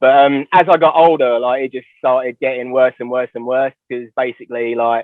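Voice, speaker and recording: A man speaks at a medium pitch with a London accent. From London, England (Ruislip, northwest London suburb). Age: 30s. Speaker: drummer in hardcore bands. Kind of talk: casual chat. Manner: halting, many fillers and restarts.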